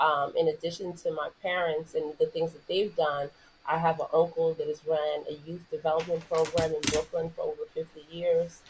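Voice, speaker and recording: In a New York accent, a woman speaks at a fairly low pitch and moderate pace with monotone, flat intonation. Her loudness swings a lot. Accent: New York American. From New York City. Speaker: former basketball player, sports entrepreneur. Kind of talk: podcast interview.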